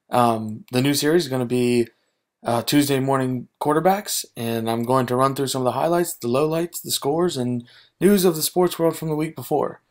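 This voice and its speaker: This man uses a normal speaking voice, fairly high in pitch, delivered at a moderate pace. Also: ordinary pitch variation. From Maryland, USA. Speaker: gaming and sports YouTuber. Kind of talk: casual gaming and sports commentary.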